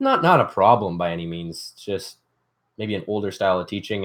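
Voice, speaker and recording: A man with a Canadian accent talks at a fairly quick pace and fairly low pitch, using ordinary pitch variation. His loudness swings widely on a very clean recording with a silent background. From Canada, Ontario. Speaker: DIY youtuber. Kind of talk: casual livestream chat. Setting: livestream from workshop. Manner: fast.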